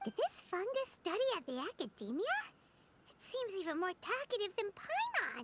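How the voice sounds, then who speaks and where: Squeaky and pitched extremely high, the voice is a put-on character. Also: moderate pace. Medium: video game.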